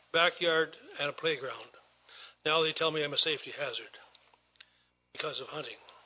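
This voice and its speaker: A man speaks with an Ontario accent. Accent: rural Ontario Canadian. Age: 70s. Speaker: farmer, delegation speaker at council. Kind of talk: public delegation address. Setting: council chambers, microphone. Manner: halting.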